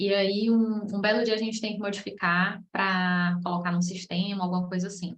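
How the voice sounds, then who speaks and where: In a somewhat breathy voice, a woman speaks at medium pitch. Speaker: process management specialist teaching a masterclass. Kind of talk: online lecture. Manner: casual, conversational.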